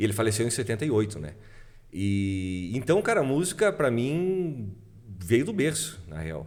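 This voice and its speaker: Audible room echo surrounds a man talking at a moderate pace in a medium pitch, with very wide pitch swings. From southern Brazil, Passo Fundo (Rio Grande do Sul). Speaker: music producer and musician. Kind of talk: casual chat.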